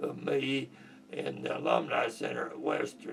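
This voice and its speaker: A man talks very slowly with an American accent. Noticeable background noise runs under his voice. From Kentucky. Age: 80s+. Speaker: war veteran. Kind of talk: oral history interview.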